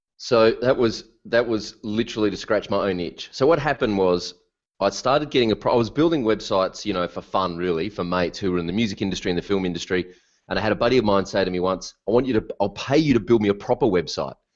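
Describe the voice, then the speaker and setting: Against a quiet background, a man with an Australian accent speaks at a very fast pace in a fairly low voice with ordinary pitch variation. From Australia, Melbourne. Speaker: WordPress consultant, business coach. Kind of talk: podcast interview. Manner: animated.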